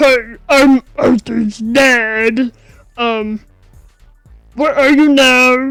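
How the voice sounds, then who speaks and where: A put-on character voice at a fairly high pitch moves at a very slow pace with long, frequent pauses. Faint music plays in the background. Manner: mock-serious.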